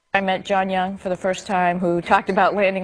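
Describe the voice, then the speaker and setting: A woman with a medium-pitched voice talks while noticeable background noise plays. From US Northeast, Needham near Boston, Massachusetts. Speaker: astronaut. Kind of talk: interview.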